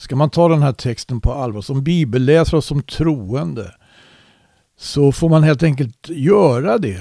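A man with a fairly high pitch and a dark, mellow tone speaks at a fairly slow pace with lively intonation. The recording is very clean, dry and close, with a silent background and no echo. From Sweden. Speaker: Bible teacher. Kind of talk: Bible study conversation. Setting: internet call.

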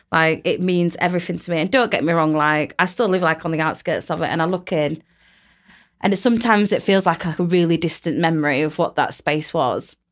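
A woman with a South Yorkshire accent speaks at a fairly quick pace and fairly low pitch, with ordinary pitch variation, on a very clean recording with a silent background. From Rotherham, South Yorkshire. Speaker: podcast host, arts project lead. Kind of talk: casual chat.

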